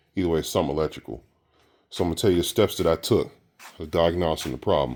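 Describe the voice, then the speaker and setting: This man speaks with a very deep, low pitch and vocal fry. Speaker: YouTuber doing car repair. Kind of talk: casual tutorial. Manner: hesitant, many fillers.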